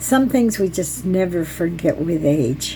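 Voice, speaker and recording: In a fairly slow delivery, a woman of medium pitch speaks with an American accent over noticeable background noise. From US South. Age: 70s. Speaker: storyteller. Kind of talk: personal storytelling vlog. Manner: halting.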